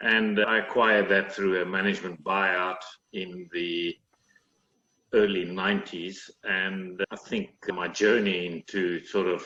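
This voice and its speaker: A man with a South African accent speaks fairly slowly in a very deep, low pitch, his bright, sharp tone held to a flat monotone. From South Africa, Cape Town. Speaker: managing director of engineering company. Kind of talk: interview.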